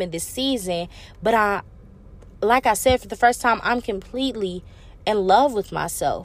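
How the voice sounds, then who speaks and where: Moderate-paced speech from a woman with a fairly high voice and ordinary pitch variation. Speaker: podcast host. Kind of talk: solo motivational monologue. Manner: hesitant with many fillers; animated.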